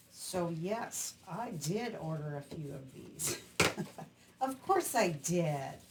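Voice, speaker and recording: The speech is very slow, with lively intonation and big swings in loudness. Noticeable background noise is present. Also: woman, fairly low pitch for a woman. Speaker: craft demonstrator. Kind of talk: crafting tutorial.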